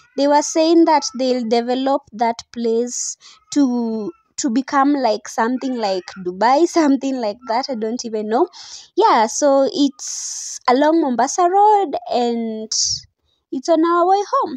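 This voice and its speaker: A woman with a high pitch speaks at a fairly slow pace against a quiet background. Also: dry sound with no echo. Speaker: vlogger. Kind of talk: casual vlog chat. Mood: excited, cheerful. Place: car.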